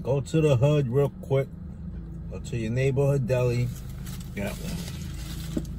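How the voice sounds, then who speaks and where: The speech comes at a very slow pace with long, frequent pauses and ordinary pitch variation. The sound is dry with no echo, though noticeable background noise is present. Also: man. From New York. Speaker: YouTuber, food vlogger. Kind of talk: mukbang eating vlog. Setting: outdoors. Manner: casual, animated. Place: car. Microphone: phone near.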